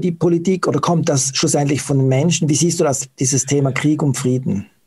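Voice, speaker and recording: A man talks at a fairly quick pace with a fairly high pitch. His voice is somewhat breathy, with ordinary pitch variation. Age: 40s. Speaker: interviewer, website operator. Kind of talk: interview.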